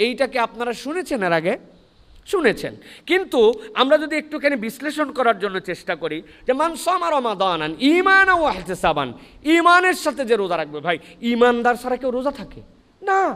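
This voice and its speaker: Raising and projecting his voice, a man speaks at an extremely high pitch with very wide pitch swings. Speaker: Islamic preacher. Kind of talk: Islamic sermon (waz) to a live audience. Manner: engaged, rhetorical questions to the audience, lively.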